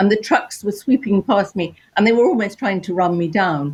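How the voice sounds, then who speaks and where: Speaking in an English accent, a woman uses a medium pitch and lively intonation at a moderate pace, her voice somewhat breathy. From England. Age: old. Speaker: artist. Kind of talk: panel discussion.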